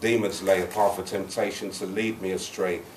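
Amid light background noise and audible room echo, a man with a fairly low pitch speaks at a moderate pace with monotone, flat intonation. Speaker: spoken word poet. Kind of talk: live spoken word poetry performance. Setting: live open mic venue. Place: bar. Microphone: camera far.

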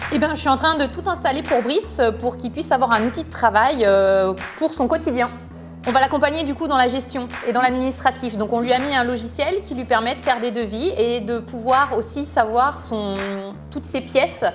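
Clear music plays in the background as a woman speaks at a moderate pace. Her pitch is high, with ordinary variation. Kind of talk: interview answer. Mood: friendly, upbeat. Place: office.

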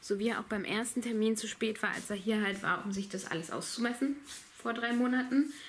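Pitch moves in an ordinary way. Delivery comes at a fairly quick pace. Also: woman. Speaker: vlogger. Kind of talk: casual vlog chat. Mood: annoyed at late tiler. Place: home room. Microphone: phone near.

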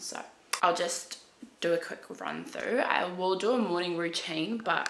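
Vocal fry runs through a fairly bright tone with ordinary pitch variation. The pace is moderate over faint background noise. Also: woman.

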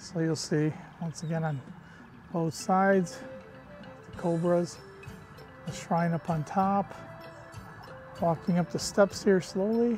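Clear music plays in the background, and the sound is dry with no echo. The speech moves at a fairly slow pace with long, frequent pauses. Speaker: travel vlogger. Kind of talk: casual vlog chat. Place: open country. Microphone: phone near.

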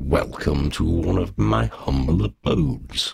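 In a put-on character voice, a man rumbles along at a fairly slow pace, raspy and very deep and low in pitch. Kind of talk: formal, courtly. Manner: formal, mildly menacing.

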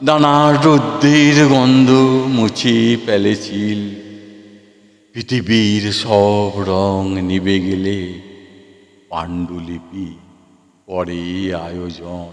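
An unremarkable speaking voice from a man comes with a fairly low pitch and lively intonation. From West Bengal, India. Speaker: poet and recitation artist. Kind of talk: poetry reading.

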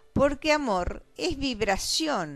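Very slow speech with very wide pitch swings. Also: woman. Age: old. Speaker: poet. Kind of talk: poetry reading. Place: home room. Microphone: handheld.

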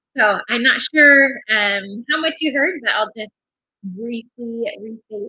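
A woman speaks with ordinary pitch variation. The background is quiet, and the sound is dry with no echo. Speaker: magazine director hosting a livestream. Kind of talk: casual livestream talk. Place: home room. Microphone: webcam.

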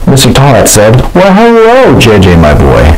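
A man speaks at a fairly slow pace. Light background noise is present. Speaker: comedy channel host reading own picture book. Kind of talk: comedic mock bedtime story reading aloud. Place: bathroom. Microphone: lapel.

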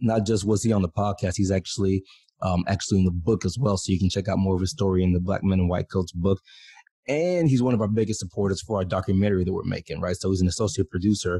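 A man's very deep, low voice with a dark, mellow, somewhat breathy tone, very fast pace and fairly even intonation, in a dry recording with no echo and a quiet background. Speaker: podcast host. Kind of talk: casual podcast intro chat. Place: home room. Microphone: studio mic.

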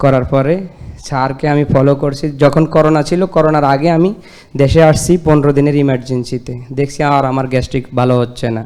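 A dark, mellow tone with fairly even intonation. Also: man, fairly high pitch for a man. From Bangladesh, Lakshmipur. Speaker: patient giving testimonial. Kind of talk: testimony.

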